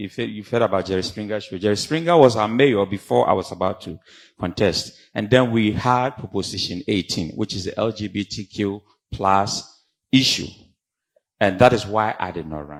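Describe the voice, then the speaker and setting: With a Ghanaian accent, the speaker shows ordinary pitch variation and big swings in loudness on a very clean recording with a silent background. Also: man, fairly low pitch for a man, moderate pace. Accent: Ghanaian accent, kept. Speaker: professor, community leader. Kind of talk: conference panel talk. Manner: animated.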